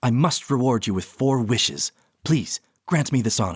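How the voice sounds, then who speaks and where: A man uses a put-on character voice. His pitch is medium. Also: moderate pace. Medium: read story. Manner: courtly, smug, smooth.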